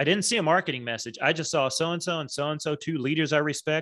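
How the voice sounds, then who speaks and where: A man with an American accent at a fairly quick pace over a quiet background. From Texas. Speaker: branding and marketing strategist; guest. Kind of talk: interview. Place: home room. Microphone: studio mic.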